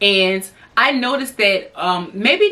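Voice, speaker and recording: Noticeable background noise surrounds this woman's speech, which has lively intonation. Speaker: lifestyle YouTuber and hairdresser. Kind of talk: casual talk to camera. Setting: alone in a room.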